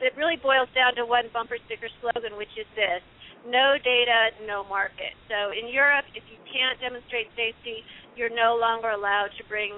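This woman has a plain, everyday voice, fairly high in pitch with fairly even intonation. She keeps a moderate pace while her loudness swings widely. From US Midwest, Illinois. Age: 50s. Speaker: ecologist and author. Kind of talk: radio interview.

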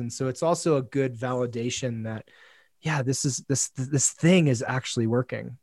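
A man with an ordinary speaking voice talks at a moderate pace and medium pitch with ordinary pitch variation, the sound dry and close with no echo in a very clean recording with a silent background. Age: 40s. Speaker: men's coach. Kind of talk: casual chat.

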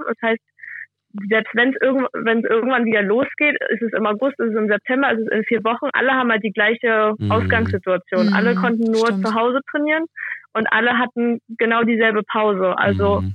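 This woman's voice sits at a fairly high pitch. She talks at a fairly quick pace with fairly even intonation. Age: 20s. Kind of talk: interview. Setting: phone call.

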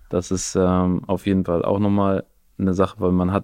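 The background stays quiet. A man's tone is dark and mellow. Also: dry, close sound with no echo. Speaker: podcast host and new father. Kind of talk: casual chat.

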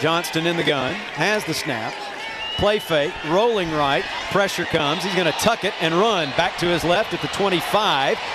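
A man talks in an animated tone at a moderate pace with ordinary pitch variation. Noticeable background noise is present. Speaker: radio play-by-play announcer. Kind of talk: live play-by-play sports commentary. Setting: radio broadcast booth at stadium. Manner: animated, clipped, informative.

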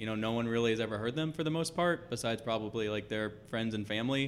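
Heard in an ordinary speaking voice, a man with an American accent talks at a medium pitch with ordinary pitch variation. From Dallas, Texas. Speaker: fan podcaster. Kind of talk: interview.

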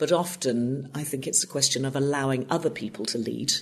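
With an English accent, a woman speaks in a very deep, low pitch at a moderate pace and with fairly even intonation. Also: quiet background. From northwest England, Lancashire. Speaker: TV producer. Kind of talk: interview.

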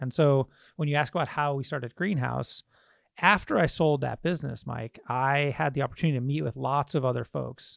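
In an American accent, a normal speaking voice moves at a fairly quick pace with ordinary pitch variation, recorded very cleanly with a silent background and a dry, close sound with no echo. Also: man. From Michigan, US Midwest. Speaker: tech startup CEO. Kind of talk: interview conversation.

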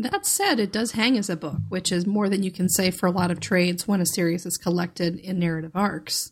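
A somewhat breathy woman with an American accent speaks at a fairly quick pace with hardly any pauses. Her pitch is medium and her intonation fairly even. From US, Northern Virginia. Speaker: podcast panelist. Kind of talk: casual chat. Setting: remote podcast recording.

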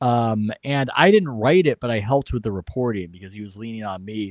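In a dry, close sound with no echo, a man speaks fairly quickly. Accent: Californian. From San Diego, California. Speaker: sports writer. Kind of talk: interview. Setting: video call from home office.

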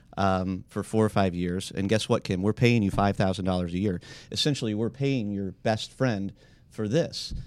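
A man speaks in a plain, everyday voice at a moderate pace, fairly low in pitch with ordinary pitch variation. The recording is very clean, with a silent background. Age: 40s. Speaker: businessman seeking a partner. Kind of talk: casual chat. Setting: studio.

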